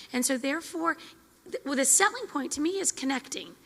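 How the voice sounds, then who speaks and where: Over noticeable background noise, a woman with a high pitch talks very fast in a raised, projected voice with lively intonation. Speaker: military spouse session leader. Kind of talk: group discussion. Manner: loud.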